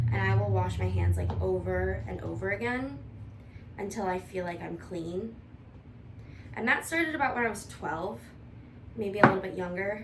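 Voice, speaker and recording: Mumbling with an American accent and long, frequent pauses, a woman speaks over noticeable background noise and audible room echo. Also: moderate pace. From US Midwest, Toledo, Ohio. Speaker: vlogger, IT analyst. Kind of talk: casual cooking vlog chat.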